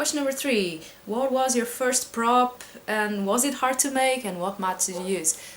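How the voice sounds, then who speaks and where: Noticeable background noise sits behind a woman who speaks at a moderate pace and fairly high pitch with ordinary pitch variation. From Portugal. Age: 20s. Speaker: cosplayer vlogger. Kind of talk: casual Q&A vlog. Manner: hesitant, many fillers.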